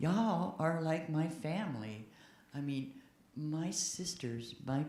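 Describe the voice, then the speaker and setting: Amid audible room echo, a woman with a very deep, low pitch speaks at a very slow pace with lively intonation. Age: 70s. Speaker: church member speaking at a congregational meeting. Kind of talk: open-floor comment at a church meeting. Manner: halting, with repeated words.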